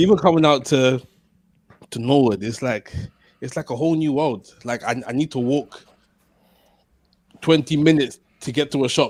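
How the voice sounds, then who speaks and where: A London accent at a moderate pace with ordinary pitch variation, in a very clean recording over a silent background. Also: man. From London (Waterloo). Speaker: podcast co-host. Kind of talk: casual chat.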